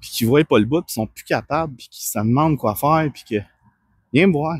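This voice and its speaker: Speaking with a Quebec accent, a man uses lively intonation at a fairly high pitch and a fairly quick pace. The recording is very clean, with a silent background and a dry, close sound with no echo. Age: 30s. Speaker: personal trainer. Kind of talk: personal testimony. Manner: calm.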